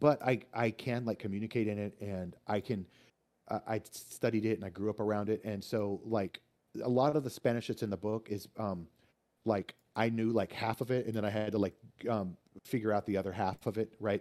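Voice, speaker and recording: A man with an American accent speaks at a fairly quick pace in a fairly low pitch, his tone dark and mellow. His intonation is fairly even, and the recording is very clean with a silent background. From Texas, Austin. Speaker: author. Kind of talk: casual chat. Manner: halting, many repetitions.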